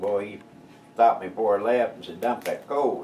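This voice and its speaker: In an American accent, a man speaks at a moderate pace with a dark, mellow tone, medium pitch and ordinary pitch variation. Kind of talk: storytelling interview answer. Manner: casual, folksy.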